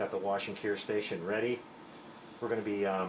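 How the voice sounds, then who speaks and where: There is noticeable background noise. A man speaks fairly quickly over it. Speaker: 3D printing hobbyist YouTuber. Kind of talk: casual tutorial vlog. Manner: relaxed, many fillers.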